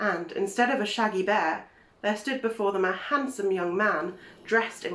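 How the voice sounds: A natural reading voice, pitch moving in an ordinary way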